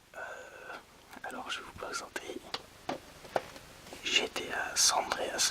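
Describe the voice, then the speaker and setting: Whispering at a very slow pace with long, frequent pauses and big swings in loudness, a man is heard over noticeable background noise. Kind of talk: ASMR video game presentation. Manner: whispered.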